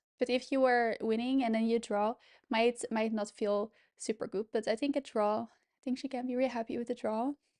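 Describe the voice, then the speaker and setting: The speaker uses a Dutch accent and monotone, flat intonation. The background is quiet. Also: woman, fairly high pitch for a woman, moderate pace. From Netherlands. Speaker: chess streamer. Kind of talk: live commentary.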